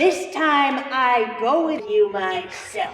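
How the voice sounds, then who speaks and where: Over faint music and with a clear echo, a woman puts on a high-pitched character voice at a very slow pace. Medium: stage play. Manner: curt, commanding.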